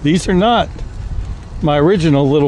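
A man is speaking. The sound is dry with no echo, and there is light background noise. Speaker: vlogger. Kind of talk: casual vlog chat. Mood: relaxed, mildly wry. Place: bicycle.

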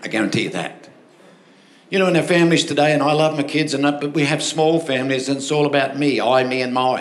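Very fast speech with fairly even intonation, in an Australian accent. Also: man, fairly high pitch for a man. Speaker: pastor. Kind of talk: sermon. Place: church. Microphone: handheld.

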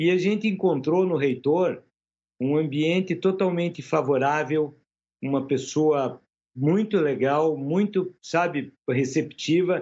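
Very slow and very even in loudness, a man talks at a fairly high pitch with ordinary pitch variation. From Brazil, Curitiba. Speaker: event organizer, business owner. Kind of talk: news interview. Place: office. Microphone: video call.

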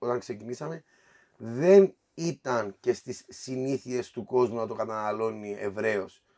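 A man's fairly slow speech with ordinary pitch variation against a quiet background. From Cyprus. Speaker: café co-owner; podcast guest. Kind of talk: casual chat. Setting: wine cellar. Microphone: echoey, eerie sound from the cellar.

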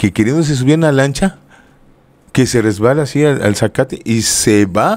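The man's intonation is lively. He speaks fairly quickly. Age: 50s. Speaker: cumbia band leader; guest. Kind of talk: interview storytelling. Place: studio. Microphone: studio mic.

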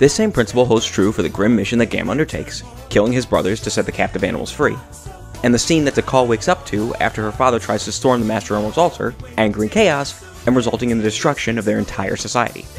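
Music plays in the background as a man talks at a very fast pace, with a medium pitch and ordinary pitch variation. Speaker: video essayist. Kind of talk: video essay narration. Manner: casual, joking.

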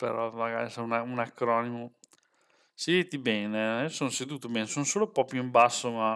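The background is quiet as a man talks with fairly even intonation at a medium pitch. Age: 40s. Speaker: software developer and tech streamer; tech streamer. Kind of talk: live stream tutorial. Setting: live stream with webcam. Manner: casual, chatty. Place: home room. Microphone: headset.

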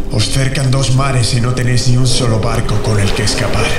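Over loud background noise and audible room echo, a man speaks. He keeps a moderate pace. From Spain. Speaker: voice actor. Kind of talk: epic dubbing demo, battle speech. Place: booth.

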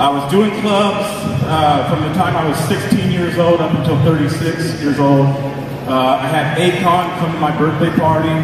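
Strong room echo and noticeable background noise fill the recording. A man speaks at a moderate pace. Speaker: guest. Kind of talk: speech testimony. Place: hall.

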